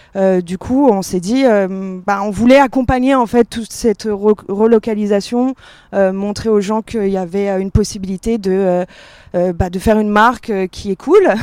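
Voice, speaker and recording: Dry and close with no echo, a woman's unremarkable speaking voice sits at a fairly high pitch, with fairly even intonation and a moderate pace. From Paris, France. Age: 30s. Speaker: fashion brand co-founder. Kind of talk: panel discussion. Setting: outdoor stage with audience.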